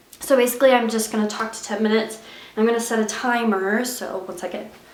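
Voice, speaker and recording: A woman speaks fairly quickly in a monotone, flat delivery with a fairly high pitch, amid audible room echo and noticeable background noise. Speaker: YouTuber. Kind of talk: unscripted confessional vlog. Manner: stutters, stumbles over words.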